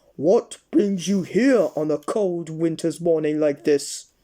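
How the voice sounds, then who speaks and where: A put-on character voice booms out loud at a middle pitch and a fairly slow pace. The recording is very clean, with a silent background. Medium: read story. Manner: loud, jovial.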